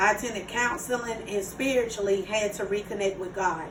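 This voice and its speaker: With a South Carolina accent, a woman talks at a moderate pace in a fairly high pitch, her pitch varying in an ordinary way, amid noticeable background noise and audible room echo. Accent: Southern US (South Carolina). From US South, Myrtle Beach, South Carolina. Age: 30s. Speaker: student. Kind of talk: class speech. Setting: speaking to a small audience.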